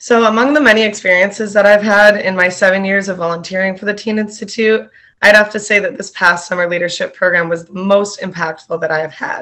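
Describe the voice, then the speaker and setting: Very fast, bright, sharp speech from a woman with hardly any pauses, fairly even intonation and big swings in loudness, set against a quiet background. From New Hampshire. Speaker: youth volunteer. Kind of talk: testimony. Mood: warm, grateful. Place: home room. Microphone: webcam.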